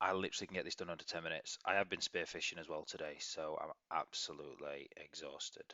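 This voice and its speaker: This is a man speaking. He has an English accent. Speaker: crypto trading analyst. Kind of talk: market analysis video. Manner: fast, rambling.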